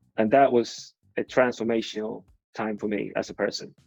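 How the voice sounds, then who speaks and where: The speaker has a Swedish accent, with music in the background. The sound is dry and close, with no echo. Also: man. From Sweden. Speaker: advertising executive. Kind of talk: interview. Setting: video call.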